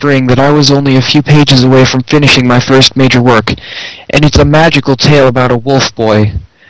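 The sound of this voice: The speaker reads in an unforced reading voice, keeping the intonation fairly even.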